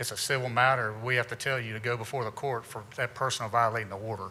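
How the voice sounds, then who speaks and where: With an American accent, a man speaks fairly quickly at a medium pitch, his tone bright and sharp and his intonation monotone and flat. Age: 50s. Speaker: county sheriff. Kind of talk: community presentation. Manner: casual, conversational.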